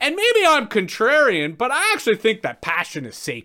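A man's raised, projected voice with a Canadian accent, very wide pitch swings and a moderate pace. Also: very clean recording, silent background. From Canada, Toronto. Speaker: keynote speaker and farmer. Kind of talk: keynote talk.

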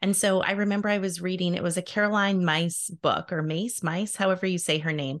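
Hardly pausing, a woman in an unremarkable speaking voice talks at medium pitch and a fairly quick pace with fairly even intonation, against a quiet background. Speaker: podcast host. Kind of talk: casual interview.

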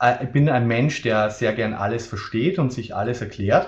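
His pitch sits in the medium range. This man's voice has a somewhat breathy quality. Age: 20s. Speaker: biochemist and medical science consultant. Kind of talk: webinar presentation.

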